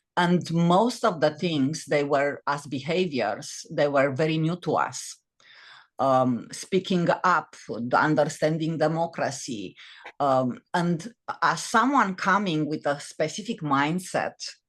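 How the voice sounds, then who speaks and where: A woman speaks at a very slow pace with a very deep, low pitch. Her intonation is lively against a quiet background. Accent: Romanian. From Romania. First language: Romanian. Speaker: author and former corporate executive. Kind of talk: podcast interview. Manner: halting, many fillers and restarts.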